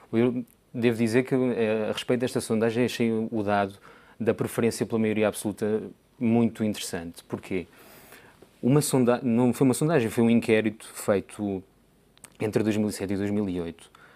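Long, frequent pauses break up a man's moderate pace and fairly even intonation. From Portugal. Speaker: political scientist. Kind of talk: panel discussion. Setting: studio. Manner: formal, hesitant. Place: studio. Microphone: lapel.

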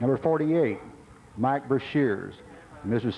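Over light background noise, a man with a dark, mellow tone and ordinary pitch variation speaks at a very slow pace. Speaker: stadium announcer. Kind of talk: public address announcement. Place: stadium.

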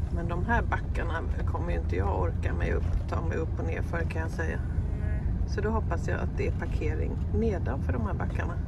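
Speech moves at a fairly quick pace over loud background noise. The sound is dry with no echo. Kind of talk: casual vlog chat. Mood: excited, a bit nervous. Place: car. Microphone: phone near.

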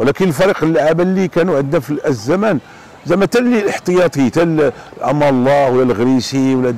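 A man at a very fast pace, in dry sound with no echo. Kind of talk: interview answer. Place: waterside. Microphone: lapel.

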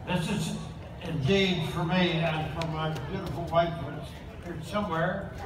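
With monotone, flat intonation, a man with a high pitch speaks at a fairly slow pace amid noticeable background noise and audible room echo. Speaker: honorary lieutenant general presiding over a ceremony. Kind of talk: ceremonial address. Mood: warm, celebratory. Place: street.

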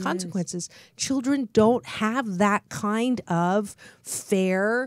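Over a quiet background, a woman speaks at a very slow pace with ordinary pitch variation and a dry sound with no echo. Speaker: talk show host. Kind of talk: radio talk show interview. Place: studio. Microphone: studio mic.

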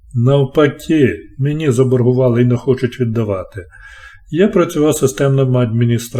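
This is a natural reading voice. It is heard here.

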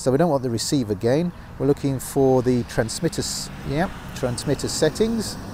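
Moderately paced male speech, dry with no echo, over light background noise. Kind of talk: tutorial. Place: street. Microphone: lapel.

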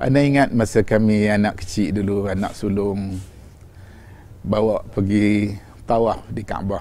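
Fairly slow, fairly even speech from a man with a fairly low pitch and a dark, mellow tone, in a dry sound with no echo. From Malaysia. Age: 60s. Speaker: religious teacher. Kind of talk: religious lecture. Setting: on pilgrimage in Medina. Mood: calm, warm storytelling. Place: home room. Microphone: lapel.

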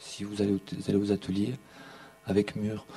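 Over noticeable background noise, a man talks with a fairly low pitch. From southern France, Montpellier. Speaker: artist and filmmaker. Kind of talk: conference talk. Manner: halting.

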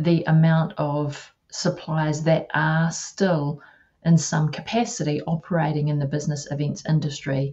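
A woman's very deep, low voice, somewhat breathy, at a very slow pace with fairly even intonation over a quiet background. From New Zealand, Taranaki (Māori); New Zealand. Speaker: live-stream show host, event agency founder; interviewer host. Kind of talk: interview. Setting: video call. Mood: amused, impressed. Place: home room. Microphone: video call.

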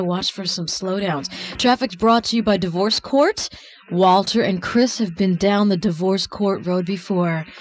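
A woman speaks at a moderate pace and a medium pitch, with fairly even intonation. Noticeable background noise runs behind her. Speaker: radio traffic reporter. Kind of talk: radio traffic report.

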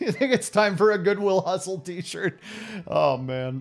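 Faint music plays in the background as the speaker goes at a fairly slow pace with ordinary pitch variation. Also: man. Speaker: game streamer. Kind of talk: casual stream chat, telling a story and reading chat. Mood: relaxed, nostalgic. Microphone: headset.

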